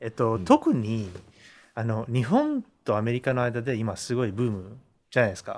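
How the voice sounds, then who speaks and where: The speaker has a non-native accent. The intonation is fairly even. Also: man, medium pitch for a man, moderate pace. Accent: non-fluent Japanese. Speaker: Hollywood screenwriter. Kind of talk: casual interview chat.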